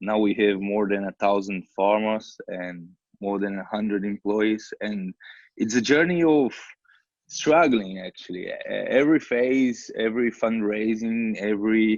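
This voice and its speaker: Speaking at a fairly slow pace with a Portuguese accent, a man uses a fairly low pitch and ordinary pitch variation against a quiet background. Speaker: social entrepreneur. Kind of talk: panel discussion. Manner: halting.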